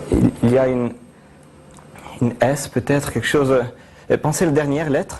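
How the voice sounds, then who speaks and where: Noticeable background noise sits under a fairly quick delivery that has long, frequent pauses and fairly even intonation. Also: man, fairly high pitch for a man. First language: Italian (speaking French). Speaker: mentalist. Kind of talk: TV interview with live demonstration. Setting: TV studio. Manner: hesitant, many fillers.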